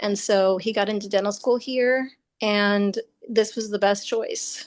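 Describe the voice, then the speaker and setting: A woman with an American accent and an unremarkable speaking voice talks at a fairly slow pace and a fairly high pitch, with ordinary pitch variation and a quiet background. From Nebraska, US Midwest. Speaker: Senate candidate. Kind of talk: interview. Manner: casual, many fillers.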